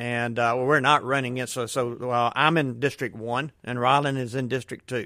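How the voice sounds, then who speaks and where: Bright and sharp in tone, the voice moves at a moderate pace with fairly even intonation on a very clean recording with a silent background. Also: man. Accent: Southern US. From US South. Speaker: school board candidate. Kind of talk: radio interview. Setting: studio.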